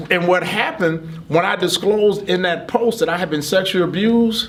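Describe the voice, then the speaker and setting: A man speaks with an American accent. His pace is fairly quick, and there is noticeable background noise. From US Midwest (Michigan from age 14). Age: 60s. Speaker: construction business owner and motivational speaker. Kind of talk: interview testimony.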